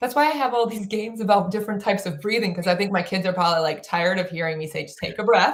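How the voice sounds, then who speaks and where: At a very fast pace with hardly any pauses, a woman talks at a medium pitch with ordinary pitch variation. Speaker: play advocate and author. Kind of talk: podcast interview. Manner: animated.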